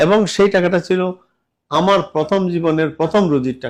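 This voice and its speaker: The voice belongs to a man and sits high in pitch, with ordinary pitch variation. The background is quiet. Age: 70s. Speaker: returned migrant worker and businessman. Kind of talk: public complaint testimony.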